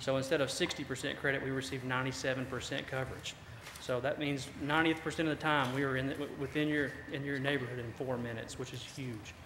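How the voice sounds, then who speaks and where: A man's medium-pitched voice in a Southern US accent, very fast and monotone with flat intonation, amid audible room echo and noticeable background noise. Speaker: fire department officer. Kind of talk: presentation to city council. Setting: council meeting.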